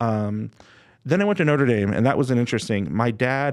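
Over a quiet background, a man with an American accent talks at a fairly quick pace in a normal speaking voice. His medium pitch shows ordinary variation. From Los Angeles, US. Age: 40s. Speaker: podcast co-host. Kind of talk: casual chat.

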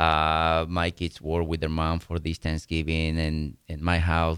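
With a Spanish accent, a man speaks very slowly in a very deep, low, monotone voice with flat intonation, on a very clean recording with a silent background. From Mexico. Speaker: real estate owner. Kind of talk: radio interview. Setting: studio.

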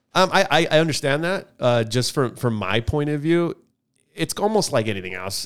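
This is an ordinary speaking voice. A man talks at a fairly quick pace. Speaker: podcast co-host. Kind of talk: casual banter podcast chat. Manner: joking, casual.

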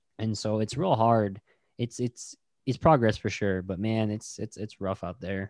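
With an American accent and a normal speaking voice, a man talks at a fairly slow pace and fairly low pitch, his intonation fairly even and the sound dry and close with no echo. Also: very clean recording, silent background. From Navajo Nation, Arizona (Tuba City). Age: 30s. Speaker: podcast host, guest here. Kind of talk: casual interview chat.

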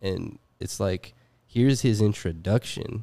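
A man's fairly low-pitched voice with a dark, mellow tone and ordinary pitch variation, very cleanly recorded over a silent background. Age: 20s. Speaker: podcast host and DJ. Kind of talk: casual chat. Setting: studio.

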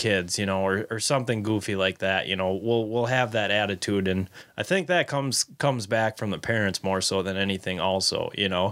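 On a very clean recording with a silent background, a man with a plain, everyday voice and fairly low pitch talks at a moderate pace with ordinary pitch variation. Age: 20s. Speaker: fishing tackle retail worker and angler. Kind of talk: casual chat.

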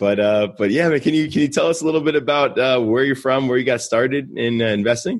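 Very fast and with hardly any pauses, a man with an American accent speaks at a medium pitch, with ordinary pitch variation and very even loudness. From New York City. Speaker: podcast host. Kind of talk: interview.

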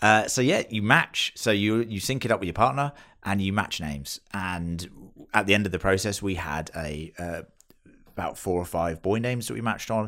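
A man with a British accent speaks at a moderate pace, in a fairly low pitch with ordinary pitch variation. His tone is bright and sharp, and the recording is very clean, with a silent background. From UK. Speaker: podcast co-host and new father. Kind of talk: casual chat.

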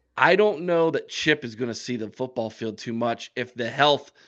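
A man with an American accent and a normal speaking voice, ordinary pitch variation, a moderate pace and a quiet background.

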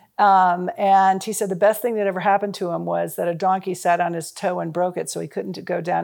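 Very fast speech from a woman with an American accent, on a very clean recording with a silent background. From US Midwest, Chicago and Cincinnati. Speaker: nonprofit founder. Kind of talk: interview.

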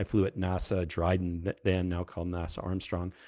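A man's very deep, low-pitched voice on a very clean recording with a silent background. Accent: strong Canadian. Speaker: retired fighter test pilot. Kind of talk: casual interview chat.

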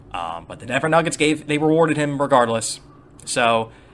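Music plays in the background as a man with an American accent speaks at a fairly high pitch. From New York. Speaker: fantasy basketball podcaster. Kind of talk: solo podcast monologue.

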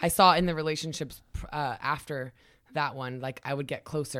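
This woman has a very deep, low voice and an American accent. She speaks at a fairly quick pace in a very clean recording with a silent background. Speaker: entrepreneur and former volleyball player. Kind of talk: casual interview chat.

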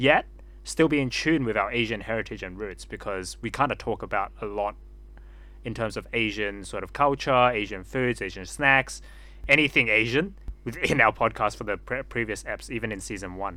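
Speaking with an Australian accent, this man keeps to a moderate pace. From Sydney, Australia. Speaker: podcast co-host. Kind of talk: casual chat.

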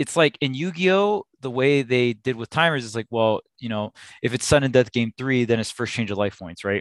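In a very clean recording with a silent background and a dry, close sound with no echo, a man with a plain, everyday voice at medium pitch talks at a moderate pace with hardly any pauses. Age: 30s. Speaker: esports coach and commentator. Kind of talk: casual chat.

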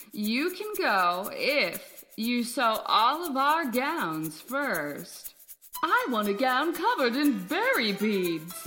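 A woman's high-pitched voice with very wide pitch swings, delivered at a very slow pace over music in the background. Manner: snooty, bossy.

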